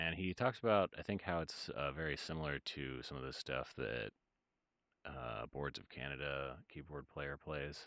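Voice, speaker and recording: A man with a very deep, low pitch, vocal fry and a bright, sharp tone speaks at a moderate pace with ordinary pitch variation. The sound is dry with no echo, over a quiet background. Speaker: music producer streamer. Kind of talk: casual livestream chat. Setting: livestream. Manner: halting.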